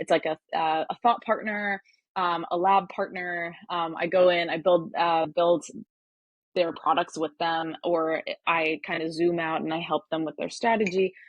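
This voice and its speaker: Speaking at a fairly slow pace, a woman with an American accent uses a fairly low pitch and fairly even intonation. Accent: sounds American. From Turkey (Ankara). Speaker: hardware startup advisor, engineer. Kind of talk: interview. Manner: many fillers (um, uh).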